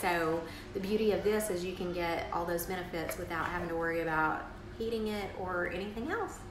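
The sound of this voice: A woman talks at a fairly quick pace and a fairly low pitch, with ordinary pitch variation. Clear background noise and audible room echo are present.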